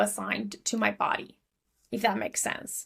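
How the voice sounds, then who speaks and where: Fairly even intonation marks a woman speaking in an Argentinian accent. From Argentina. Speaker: business coach. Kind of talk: podcast interview.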